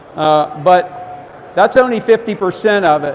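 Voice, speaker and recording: A loud man with an American accent speaks very slowly at a high pitch. There is noticeable background noise. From Ohio. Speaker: fishing expert giving a seminar. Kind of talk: seminar talk. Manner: halting, many fillers.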